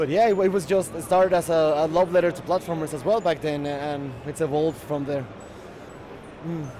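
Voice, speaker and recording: A fairly high male voice with fairly even intonation at a fairly quick pace, over noticeable background noise. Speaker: indie game developer. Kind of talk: interview. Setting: convention show floor.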